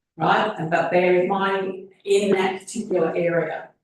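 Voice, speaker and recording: A woman with an Australian accent speaks at a fairly slow pace in a medium-pitched voice. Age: 70s. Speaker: resident asking questions at council meeting. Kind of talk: public question time. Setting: council chamber. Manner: animated.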